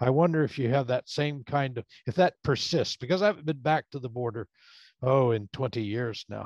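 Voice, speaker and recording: At a moderate pace, a man speaks at medium pitch with ordinary pitch variation, the sound dry with no echo and the background quiet. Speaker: professor, audience questioner; professor, questioner. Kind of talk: Q&A question. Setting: video call. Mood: reflective, conversational. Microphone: video call.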